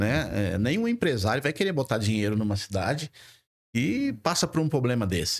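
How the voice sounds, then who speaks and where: The voice moves at a moderate pace with very even loudness against a quiet background. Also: man. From Presidente Prudente, interior of São Paulo state, Brazil; São Paulo state, Brazil. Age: 60s. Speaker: mayoral pre-candidate; candidate. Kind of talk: podcast interview discussion. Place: studio. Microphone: studio mic.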